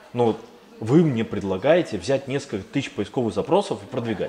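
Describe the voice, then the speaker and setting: This man's pitch rises and falls very widely while noticeable noise sits in the background. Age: 30s. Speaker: agency founder and business angel. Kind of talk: interview.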